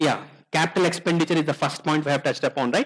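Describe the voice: The pace is fast and the tone is fairly bright. Pitch varies in an ordinary way. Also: man, fairly high pitch for a man.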